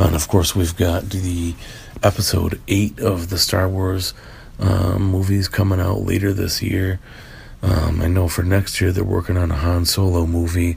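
Noticeable background noise sits behind a man talking at a fairly slow pace. His pitch is very deep and low, and his intonation is monotone and flat. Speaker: podcast host. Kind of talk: solo casual monologue. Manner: stilted.

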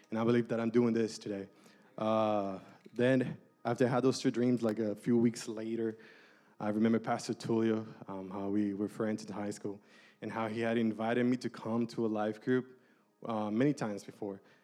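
Music plays behind a man talking at a moderate pace. His intonation stays monotone and flat. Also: medium pitch for a man. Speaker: church small-group leader. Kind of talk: testimony. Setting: church.

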